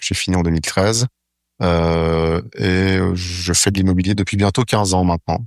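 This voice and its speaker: In a very clean recording with a silent background, a man speaks at a moderate pace in a very deep, low voice, with fairly even intonation and very even loudness. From Switzerland, Lausanne. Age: 30s. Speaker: real estate agency co-founder. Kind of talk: interview. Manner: hesitant fillers.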